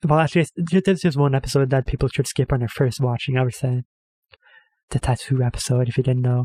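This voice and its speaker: A man speaks very fast at medium pitch, his tone dark and mellow and somewhat breathy. The sound is dry and close, with no echo. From Norway. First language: Norwegian. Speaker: reaction video creator. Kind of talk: casual commentary. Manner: hesitant, filler-heavy.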